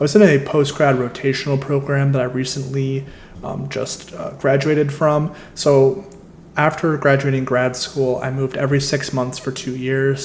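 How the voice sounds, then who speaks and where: Speaking with a Midwestern American accent, a man with a fairly high pitch keeps a fairly even intonation at a moderate pace, with audible room echo and noticeable background noise. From US Midwest. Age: 20s. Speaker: travel and credit card points vlogger. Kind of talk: casual presentation walkthrough.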